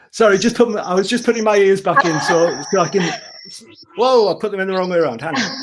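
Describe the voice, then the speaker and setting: A man talks very fast at a high pitch with ordinary pitch variation. Noticeable background noise sits behind him. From northeast England. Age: 60s. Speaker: singer-songwriter. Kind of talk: casual interview chat. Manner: halting, repeats words.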